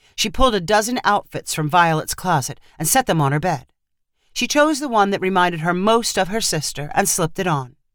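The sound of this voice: Lively intonation shapes an unforced reading voice, set against a quiet background.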